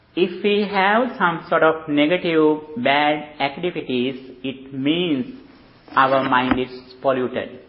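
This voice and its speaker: Noticeable background noise sits behind a man who speaks at a very slow pace in a fairly high pitch with lively intonation. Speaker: Buddhist monk teacher. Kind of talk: dharma talk. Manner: halting.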